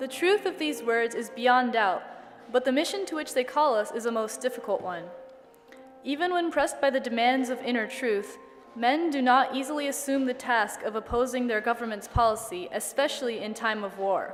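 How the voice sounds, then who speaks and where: Music plays behind a woman with a high-pitched voice. She speaks at a moderate pace with lively intonation. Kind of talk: dramatic reading of a historic speech.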